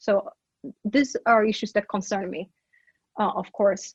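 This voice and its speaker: In a Brazilian Portuguese accent, a woman with a fairly high pitch speaks at a moderate pace, her somewhat breathy voice carrying fairly even intonation in a dry, close sound with no echo. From Brazil, Manaus (Amazonas). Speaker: professor. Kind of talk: interview conversation.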